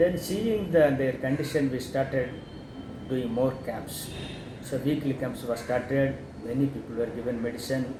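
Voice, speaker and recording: Noticeable background noise accompanies a man speaking at a moderate pace. His medium pitch shows ordinary variation. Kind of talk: interview answer.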